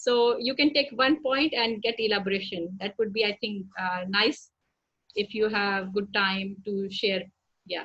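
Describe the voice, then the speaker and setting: Here is a woman with an unremarkable speaking voice. She talks at a fairly slow pace with a medium pitch and ordinary pitch variation. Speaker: doctor. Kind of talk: casual chat.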